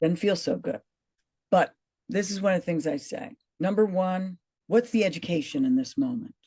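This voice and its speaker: A woman at medium pitch, somewhat breathy with a dark, mellow tone, lively intonation, a moderate pace and long, frequent pauses, in a dry, close sound with no echo. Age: 60s. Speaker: actress and fitness coach. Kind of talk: interview conversation.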